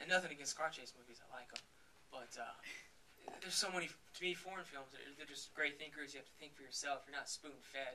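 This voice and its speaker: A man with an American accent and a fairly high voice talks very fast, with ordinary pitch variation and big swings in loudness. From Texas. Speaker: film director. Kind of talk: Q&A after film screening.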